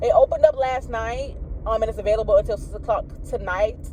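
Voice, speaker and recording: Noticeable background noise fills the recording. A woman speaks at a fairly quick pace. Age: 30s. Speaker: vlogger and medical assistant student. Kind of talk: casual vlog chat.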